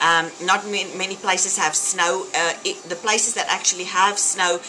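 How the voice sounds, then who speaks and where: Over noticeable background noise, a woman with a South African accent speaks at a moderate pace in a fairly low pitch. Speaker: fitness vlogger. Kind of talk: casual vlog talk. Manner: animated.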